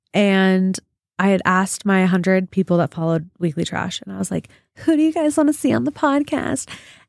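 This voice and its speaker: A woman speaks at a fairly quick pace in a medium pitch, her tone animated and her pitch swinging very widely. The recording is very clean with a silent background, and the sound is dry and close with no echo. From Utah, US (Draper). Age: 20s. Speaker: podcast host, stay-at-home mom. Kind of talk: casual chat. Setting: studio.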